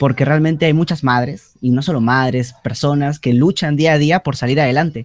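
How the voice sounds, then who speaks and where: A man with an unremarkable speaking voice talks at a moderate pace, pitched fairly high. His intonation is fairly even, his loudness very even, and he hardly pauses. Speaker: university student. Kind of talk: class discussion.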